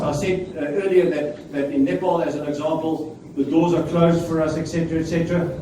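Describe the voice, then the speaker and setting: Over noticeable background noise and audible room echo, a man with a fairly high voice speaks at a moderate pace with ordinary pitch variation. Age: 70s. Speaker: preacher. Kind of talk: sermon.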